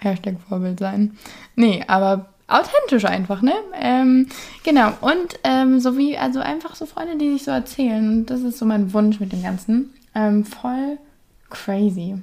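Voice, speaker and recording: Somewhat breathy and fairly high-pitched, this woman's voice swings very widely in pitch as she talks at a fairly slow pace. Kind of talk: casual monologue. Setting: home bedroom. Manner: chatty, many fillers.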